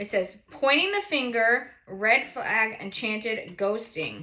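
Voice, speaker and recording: A woman with a New England accent speaks in an animated tone. Her fairly high pitch shows ordinary variation. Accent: noticeable New England. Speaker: tarot reader, channel host. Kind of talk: casual tarot reading livestream.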